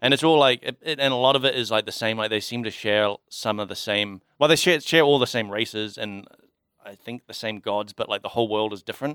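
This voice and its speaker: A man's medium-pitched voice, an ordinary speaking voice, dry and close with no echo, on a very clean recording with a silent background. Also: ordinary pitch variation, fairly quick pace. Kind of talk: casual chat.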